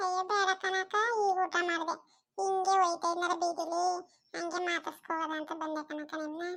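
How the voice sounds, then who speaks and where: A woman's cartoonish character voice, extremely high in pitch with monotone, flat intonation. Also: moderate pace. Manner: fawning, chatty.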